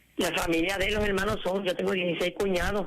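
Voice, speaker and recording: A woman speaks over noticeable background noise. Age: 70s. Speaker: caller. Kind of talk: call-in radio testimony.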